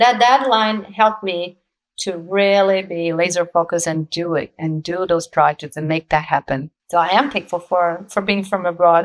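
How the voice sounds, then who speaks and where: A woman's fairly low voice with a Brazilian accent and ordinary pitch variation. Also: moderate pace. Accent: Brazilian accent, kept. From Brazil, São Paulo. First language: Portuguese. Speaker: actress and producer. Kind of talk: interview conversation.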